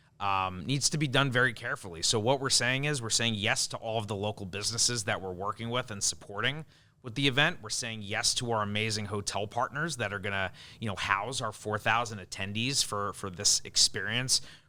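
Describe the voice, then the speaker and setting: In a very clean recording with a silent background, a man with a Long Island accent speaks at a fairly quick pace, his fairly low voice bright and sharp in tone with ordinary pitch variation. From US Northeast (Long Island, New York). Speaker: event production executive. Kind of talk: podcast interview.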